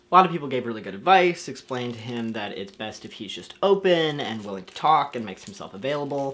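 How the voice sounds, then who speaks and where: On a very clean recording with a silent background, a man with an American accent speaks at a very fast pace and medium pitch, with very wide pitch swings and big swings in loudness. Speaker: youtuber. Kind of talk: vlog.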